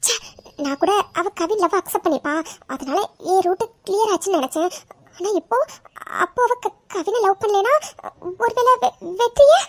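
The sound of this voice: A woman does a squeaky, cartoonish character voice at an extremely high pitch, with very wide pitch swings. She keeps a moderate pace, and the sound is dry and close with no echo.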